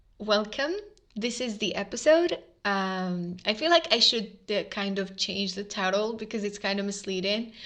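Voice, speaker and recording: A woman with an Arabic accent over a quiet background. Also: medium pitch for a woman, ordinary pitch variation, moderate pace. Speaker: podcast host. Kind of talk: casual monologue. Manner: hesitant, many fillers.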